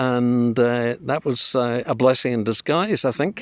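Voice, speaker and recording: A man talks at a fairly slow pace in a medium pitch. He has an ordinary speaking voice, and the sound is dry and close with no echo. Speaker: interviewer. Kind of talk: casual interview questions.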